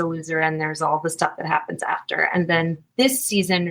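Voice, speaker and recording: A woman speaks at a moderate pace with an American accent, her tone bright and sharp and her pitch fairly low. The recording is very clean, with a silent background. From Virginia. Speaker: actress and singer-songwriter. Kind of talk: interview. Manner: animated, many fillers and restarts.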